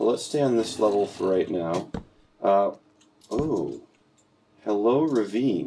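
Using very even loudness, a man with an American accent speaks very slowly with long, frequent pauses. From US Northeast, Boston. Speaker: gaming YouTuber. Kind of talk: casual gameplay commentary.

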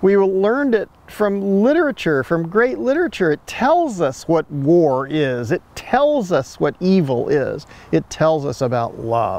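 Speaking at a fairly slow pace, this man swings his pitch very widely in a dry recording with no echo. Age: 70s. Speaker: ecosystem restoration advocate and filmmaker. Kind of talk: interview conversation. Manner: repetitive, halting restarts. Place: garden.

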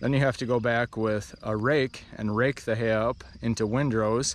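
The sound is dry with no echo. A man speaks at a moderate pace with fairly even intonation. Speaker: painter vlogger. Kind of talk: casual vlog chat. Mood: relaxed, reminiscing. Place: open country. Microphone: phone near.

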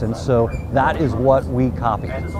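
A man talks with clear music in the background and a dry sound with no echo. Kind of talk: interview answer. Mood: proud, upbeat. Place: open country. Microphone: lapel.

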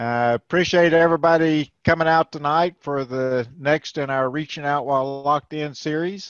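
Over a quiet background, a man talks at a moderate pace with fairly even intonation. The sound is dry with no echo. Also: hardly any pauses. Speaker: webinar moderator, extension educator. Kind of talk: webinar moderation and Q&A. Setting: video call. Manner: casual, hesitant with many fillers. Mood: friendly, welcoming. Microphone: video call.

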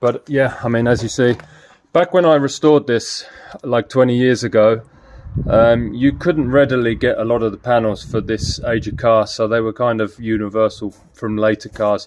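Fairly even intonation marks this man's speech at a moderate pace. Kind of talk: casual vlog chat. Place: street. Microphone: phone near.

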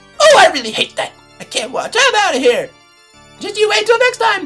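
A put-on character voice at an extremely high pitch, swinging very widely in pitch at a fairly quick pace, with faint music in the background. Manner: wildly swinging from angry to cackling.

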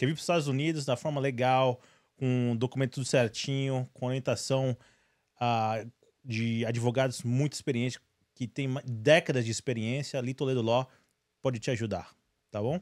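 A man at a medium pitch and moderate pace, with fairly even intonation and long, frequent pauses, before a quiet background. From Brazil. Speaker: podcast host. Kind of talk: sponsor read. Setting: studio livestream. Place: studio. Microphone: studio mic.

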